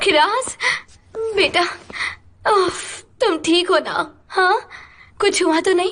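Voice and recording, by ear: In a put-on character voice, a woman talks at an extremely high pitch with a fairly bright tone. Her pace is slow. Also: ordinary pitch variation.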